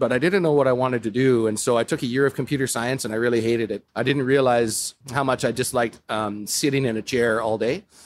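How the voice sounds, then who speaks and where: Hardly pausing, a man speaks at a very fast pace with fairly even intonation. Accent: western Canadian. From Calgary, Alberta, Canada. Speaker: brewer. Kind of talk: casual interview.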